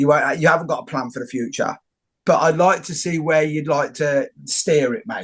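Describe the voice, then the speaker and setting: At a moderate pace, a man talks in an ordinary speaking voice, fairly high in pitch, with ordinary pitch variation. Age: 50s. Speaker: podcast host. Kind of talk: interview conversation. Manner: casual.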